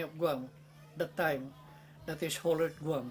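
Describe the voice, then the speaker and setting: Music plays in the background as the speech moves at a moderate pace. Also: man. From Philippines. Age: 80s+. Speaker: war veteran, former prisoner of war. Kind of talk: interview answer.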